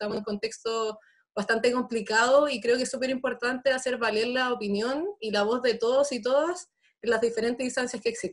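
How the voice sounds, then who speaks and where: A woman with a normal speaking voice and a fairly high pitch talks at a fairly quick pace over light background noise. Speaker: student election candidate; election candidate. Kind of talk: debate. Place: home room. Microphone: webcam.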